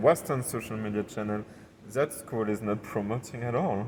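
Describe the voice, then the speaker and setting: A medium-pitched man's voice in a southern French accent. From southern France. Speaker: entrepreneur. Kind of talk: podcast interview. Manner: hesitant, searching for words.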